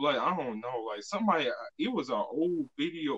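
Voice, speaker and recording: A man speaks at a moderate pace, fairly high in pitch, with very wide pitch swings. Vocal fry runs through his voice. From Alabama. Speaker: podcast host. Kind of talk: casual chat.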